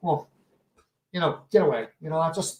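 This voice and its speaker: A man speaks loudly. His pace is fairly quick. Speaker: snooker show host. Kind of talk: casual chat. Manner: halting, many repeats.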